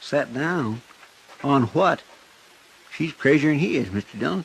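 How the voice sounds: A man puts on a character voice at medium pitch, with vocal fry and a slightly husky edge. He speaks at a fairly slow pace with lively intonation.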